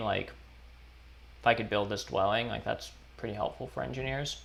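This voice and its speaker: A man mumbles at a fairly quick clip in a fairly low voice, with ordinary pitch variation. His speech is broken by long, frequent pauses. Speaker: board game streamer. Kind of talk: live stream commentary. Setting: live stream. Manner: mumbling; casual, halting.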